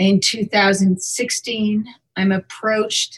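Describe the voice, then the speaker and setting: The woman's voice is somewhat breathy and sits at a medium pitch. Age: 40s. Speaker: artist and gallery owner. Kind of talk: interview.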